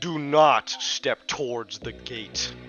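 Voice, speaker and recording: A man does a put-on character voice with ordinary pitch variation over faint background music. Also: medium pitch for a man. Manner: authoritative, stern.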